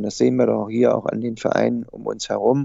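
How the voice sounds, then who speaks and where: A man is speaking. His pace is fairly quick. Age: 60s. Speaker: amateur football coach. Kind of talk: interview.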